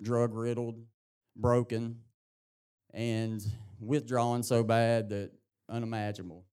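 A man in an Appalachian accent, dark and mellow at medium pitch, monotone and flat, fairly slow with long, frequent pauses. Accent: Southern US (Appalachian). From East Tennessee, US South. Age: 30s. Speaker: recovery program graduate. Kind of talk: testimony. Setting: church with congregation.

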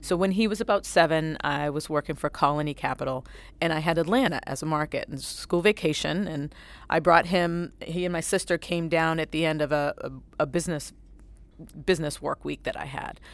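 A plain, everyday voice from a woman, fairly low in pitch with ordinary pitch variation and a fairly quick pace, on a very clean recording with a silent background. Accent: American. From New Bedford, Massachusetts. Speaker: asset manager. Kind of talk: panel discussion.

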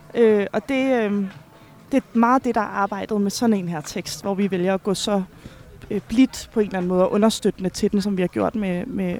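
A woman's medium-pitched voice at a moderate pace, with fairly even intonation and noticeable background noise. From Finland. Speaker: stage director. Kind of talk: casual interview. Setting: busy café. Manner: halting, many fillers.

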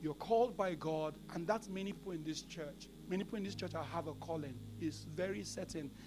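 Speaking at a fairly quick pace, a man's voice rings with audible room echo. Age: 40s. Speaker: pastor. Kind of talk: sermon.

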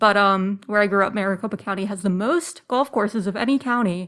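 At a fairly quick pace, a woman with a plain, everyday voice speaks at medium pitch with ordinary pitch variation. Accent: American. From Arizona (Phoenix suburbs). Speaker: research analyst. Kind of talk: podcast interview.

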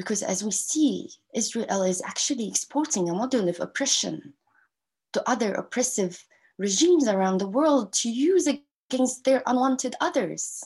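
A woman with an Arabic accent speaks at a moderate pace in a high pitch, with lively intonation. The background is quiet. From Gaza, Palestine. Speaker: activist and university lecturer. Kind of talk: interview. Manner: halting.

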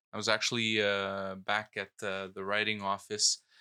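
This man has a fairly low pitch and a bright, sharp tone, speaking in a monotone with flat intonation. The sound is dry and close, with no echo. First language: not English (English is third language; French schooling). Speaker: politician. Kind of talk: casual chat.

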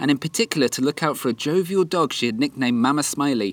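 Talking at a very fast pace, a man uses a fairly high pitch and lively intonation. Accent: British. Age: 20s. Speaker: travel podcaster. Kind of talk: scripted narration. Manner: animated.

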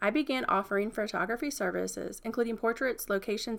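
A woman with an American accent talks at a very fast pace with vocal fry. Her pitch is fairly high, with ordinary variation. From Franklin, Virginia, US. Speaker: podcast host, marketing consultant. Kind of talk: scripted narration.

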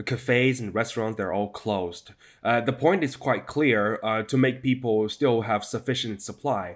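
Medium in pitch, a man speaks with a Chinese accent. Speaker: news correspondent. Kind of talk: interview. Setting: video call. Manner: hesitant, many fillers.

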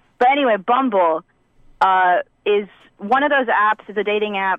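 With an unremarkable speaking voice, a woman talks at a fairly slow pace and shows ordinary pitch variation. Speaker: caller. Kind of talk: casual chat. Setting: phone call.

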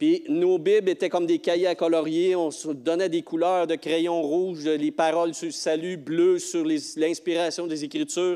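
Pitched high with a dark, mellow tone, a man speaks in a Quebec accent at a fairly slow pace with fairly even intonation. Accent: Québécois French. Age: 60s. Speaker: lay preacher, retired teacher and school bus driver. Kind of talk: sermon. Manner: halting.

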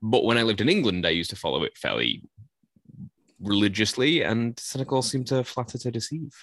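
Vocal fry marks this man's voice. He talks at a very fast pace. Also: medium pitch for a man, ordinary pitch variation. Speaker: podcast host. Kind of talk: casual banter about fantasy football draft.

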